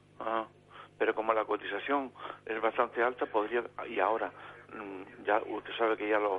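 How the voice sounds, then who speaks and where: Flat and monotone, a man with a medium pitch speaks at a moderate pace with long, frequent pauses. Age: 60s. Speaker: caller, worker near retirement. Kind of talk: phone-in question. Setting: phone call. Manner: hesitant.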